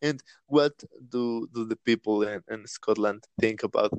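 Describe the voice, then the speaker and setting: A man speaks with a Spanish accent. His pace is fairly slow. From Latin America. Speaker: podcast host. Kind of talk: casual chat. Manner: halting.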